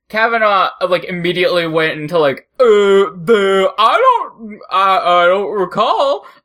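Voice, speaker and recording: A man speaks with a high pitch in a raised, projected voice. His pace is very slow. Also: very even loudness. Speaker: podcast host. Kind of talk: casual comedy chat.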